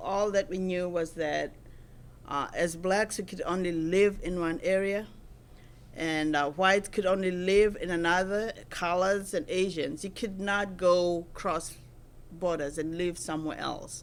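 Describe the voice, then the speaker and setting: A woman with a South African accent talks at a medium pitch, fairly slowly, with fairly even intonation. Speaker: Lutheran minister. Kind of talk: oral history interview answer.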